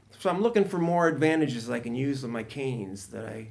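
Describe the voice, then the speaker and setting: A man at medium pitch with a US Midwestern accent, lively intonation and a fairly quick pace. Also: big swings in loudness. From Ohio, US Midwest. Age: 60s. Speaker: stand-up comedian. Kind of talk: podcast interview. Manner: halting.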